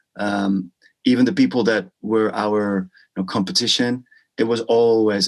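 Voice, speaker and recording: Flat, monotone intonation marks this man's fairly low-pitched voice. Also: quiet background. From Netherlands and Spain. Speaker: musician and affiliate marketer. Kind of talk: interview.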